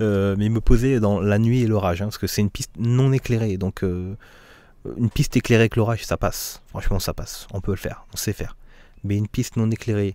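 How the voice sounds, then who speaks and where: A man talks at a fairly quick pace, his pitch fairly low and his tone dark and mellow. His intonation stays fairly even, broken by long, frequent pauses, and the sound is dry with no echo. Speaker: gaming YouTuber; flight sim streamer. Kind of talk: casual vlog monologue. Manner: hesitant, many fillers. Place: home room. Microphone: studio condenser mic; studio mic.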